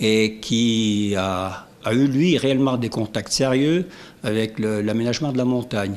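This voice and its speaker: A very slow pace with ordinary pitch variation. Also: man, medium pitch for a man. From Savoie, French Alps (Maurienne valley). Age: 70s. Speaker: retired factory worker, local resident. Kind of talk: interview. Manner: hesitant, many fillers.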